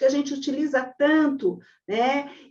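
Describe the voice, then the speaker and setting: A woman speaks in a high pitch. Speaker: lawyer. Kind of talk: webinar lecture. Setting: online webinar.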